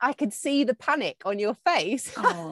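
A woman's fairly high-pitched voice with vocal fry, dry and close with no echo. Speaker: television and radio presenter. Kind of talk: casual chat. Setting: in-person studio conversation.

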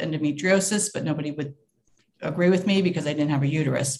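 A woman talks in a somewhat breathy voice at a fairly low pitch. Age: 60s. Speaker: caller to live Q&A. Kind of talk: casual chat.

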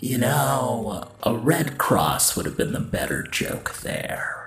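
In a raspy, put-on character voice, a man talks at a fairly slow pace. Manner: taunting, sardonic.

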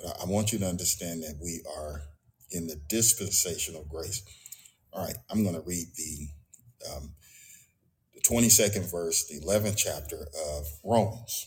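Somewhat breathy and very deep in pitch, a man talks with ordinary pitch variation and long, frequent pauses. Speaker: pastor. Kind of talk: sermon. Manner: halting.

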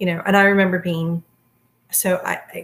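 Her voice somewhat breathy, a woman speaks at a fairly low pitch. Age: 40s. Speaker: podcast host and special education parent advocate. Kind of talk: casual interview.

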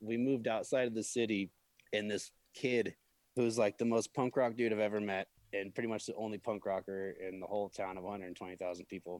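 A man with a normal speaking voice, a fairly low pitch and an American accent, fairly even intonation at a fairly quick pace, recorded dry and close with no echo. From US Midwest, Peoria, Illinois. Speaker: event production manager. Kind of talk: casual interview.

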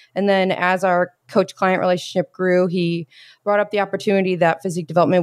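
In a plain, everyday voice, a woman of medium pitch speaks at a fairly quick pace, recorded very cleanly with a silent background and a dry, close sound with no echo. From US Midwest, Indiana (Bloomington). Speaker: fitness coach. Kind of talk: casual chat.

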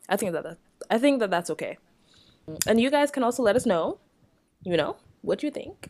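A woman speaks at a fairly quick pace with very wide pitch swings. She leaves long, frequent pauses. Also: fairly high pitch for a woman. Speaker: podcast co-host. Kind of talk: casual chat. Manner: soft-spoken.

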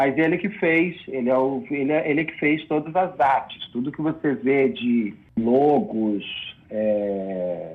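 A man with a fairly high pitch talks in an ordinary speaking voice, with lively intonation. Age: 40s. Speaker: film director and screenwriter. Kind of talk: casual interview. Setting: online video call or stream.

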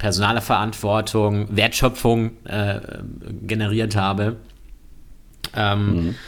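A man speaks at a very slow pace with a fairly low pitch. His intonation is flat and monotone, broken by long, frequent pauses. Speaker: politician, member of parliament. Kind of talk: casual chat. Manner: halting, many fillers.

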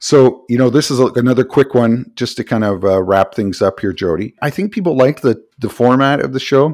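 An ordinary speaking voice from a man, medium in pitch, fairly quick and with hardly any pauses, lively in intonation, on a very clean recording with a silent background. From Canada. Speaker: podcast co-host. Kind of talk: casual chat.

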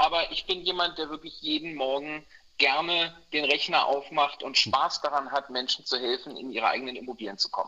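The man's tone is bright and sharp, at a fairly high pitch. He speaks at a moderate pace. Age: 50s. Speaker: mortgage broker. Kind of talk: interview. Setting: remote call from holiday in Mallorca.

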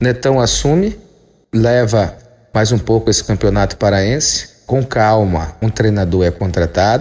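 At a fairly slow pace, a man speaks with a fairly low pitch and ordinary pitch variation. His voice is somewhat breathy and very even in loudness. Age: 40s. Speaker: sports columnist. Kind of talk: opinion podcast monologue. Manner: animated.

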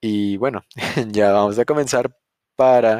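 The sound is dry and close with no echo as a man speaks at a medium pitch. His tone is dark and mellow, his intonation fairly even. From Mexico. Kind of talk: bible teaching podcast. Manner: casual, hesitant with fillers.

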